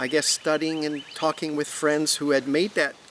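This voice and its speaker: A man talks at a moderate speed, with noticeable background noise behind him. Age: 60s. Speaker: interviewee sharing vegan lifestyle. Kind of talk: interview.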